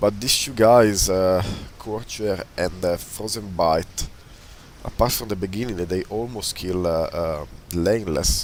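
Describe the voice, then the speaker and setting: Over noticeable background noise, a man talks at a fairly slow pace with a fairly low pitch and ordinary pitch variation. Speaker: video game commentator. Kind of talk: live commentary.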